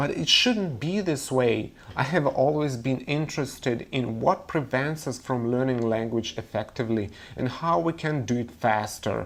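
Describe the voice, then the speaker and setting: With a Russian accent, a man speaks at a fairly slow pace and a medium pitch, with ordinary pitch variation and audible room echo. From Russia, Moscow. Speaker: language teacher. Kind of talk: webinar lecture.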